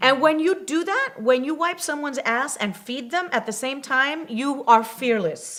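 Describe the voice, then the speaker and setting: Over noticeable background noise, a woman with a high pitch speaks at a moderate pace with lively intonation. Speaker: actress. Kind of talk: interview answer.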